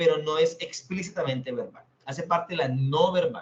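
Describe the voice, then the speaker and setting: A man is speaking. His pace is moderate. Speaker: teacher. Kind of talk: lecture.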